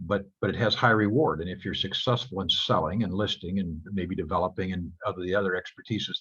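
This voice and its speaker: In an American accent, a man with a very deep, low pitch talks at a very fast pace with ordinary pitch variation against a quiet background. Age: 70s. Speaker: real estate broker. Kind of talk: guest talk to students on video call.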